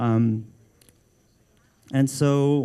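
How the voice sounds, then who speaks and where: Speaking with a Filipino American accent, a man has a dark, mellow tone, medium pitch and fairly even intonation. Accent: Filipino American accent, self-noted. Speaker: art director. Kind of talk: book launch talk. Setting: live event with audience. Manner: hesitant, many fillers and restarts; casual, informal.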